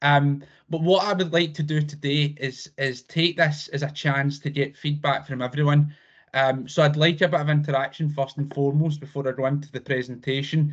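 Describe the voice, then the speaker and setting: A man talks with a fairly high pitch and a somewhat breathy sound. His intonation is monotone and flat. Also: fairly quick pace. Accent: Scottish. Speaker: insurance provider representative. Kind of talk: business presentation on a video call. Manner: fast.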